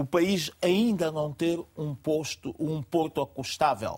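This man's voice sits high in pitch. He speaks at a very slow pace. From São Tomé and Príncipe. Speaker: panel commentator. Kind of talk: TV panel debate. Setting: studio.

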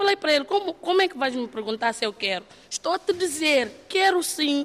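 A woman at a moderate pace, very wide pitch swings, and noticeable background noise. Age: 20s. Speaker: theatre trainee, model and dancer. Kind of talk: interview. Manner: animated.

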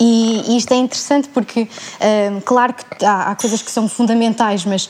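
Against noticeable background noise, a woman with a fairly high pitch speaks at a moderate pace with fairly even intonation. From Portugal, Setúbal. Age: 20s. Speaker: theatre student. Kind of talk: panel discussion.

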